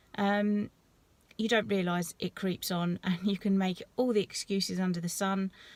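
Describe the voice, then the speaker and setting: With a British accent, a woman talks at a medium pitch and moderate pace in a monotone, flat intonation, captured in a very clean recording with a silent background and a dry, close sound with no echo. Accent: English (UK). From southeast England, East Sussex coast. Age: 30s. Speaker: vlogger. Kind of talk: casual vlog talk. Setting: at the gym. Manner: casual, hesitant with many ums.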